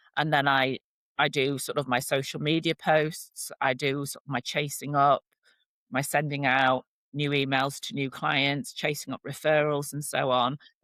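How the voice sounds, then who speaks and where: A woman with a northern English accent speaks in a very deep, low voice, recorded dry and close with no echo. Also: moderate pace, very clean recording, silent background. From northern England. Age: 50s. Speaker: relationship and divorce coach. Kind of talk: podcast interview. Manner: animated.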